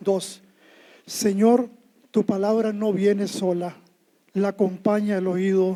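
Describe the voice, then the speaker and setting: Speaking with a Costa Rican accent, a man has a high pitch and a dark, mellow tone at a fairly slow pace. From Costa Rica, Alajuela. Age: 70s. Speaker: poet. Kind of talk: poetry reading; humorous anecdote on stage. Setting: stage with audience.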